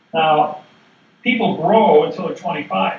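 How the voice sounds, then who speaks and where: Against audible room echo and noticeable background noise, a man with a fairly high pitch speaks at a moderate pace with ordinary pitch variation. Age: 60s. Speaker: seminar speaker. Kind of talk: seminar lecture.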